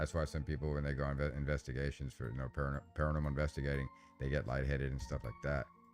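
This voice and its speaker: Over music in the background, a man with a very deep, low pitch talks at a very fast pace in a flat monotone. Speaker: paranormal channel host. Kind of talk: live stream Q&A. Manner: casual, halting with fillers.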